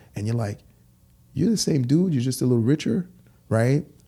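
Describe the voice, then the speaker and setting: A man with lively intonation and a somewhat breathy voice. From Haiti, raised in Brooklyn, New York. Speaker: clothing store founder. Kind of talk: interview. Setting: in person.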